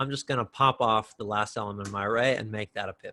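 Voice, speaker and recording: The tone is bright and sharp, at a moderate pace. The sound is dry and close, with no echo. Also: man. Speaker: coding instructor. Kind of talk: live online lecture. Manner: animated.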